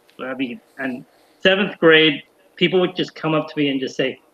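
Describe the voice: At a moderate pace, a man with an American accent speaks in a fairly high pitch and a fairly bright tone, with ordinary pitch variation.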